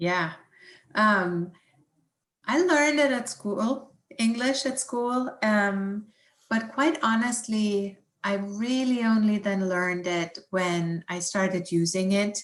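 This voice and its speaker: The pace of this woman's speech is very slow. Her medium pitch shows ordinary pitch variation. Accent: German. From Germany. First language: German. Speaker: environmental scientist. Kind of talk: science talk with Q&A. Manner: hesitant, many fillers.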